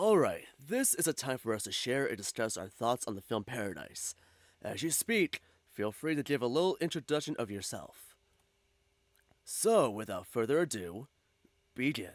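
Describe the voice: In a put-on character voice, a man speaks raspy and at a medium pitch, his pitch swinging very widely at a moderate pace. The sound is dry and close with no echo, on a very clean recording with a silent background.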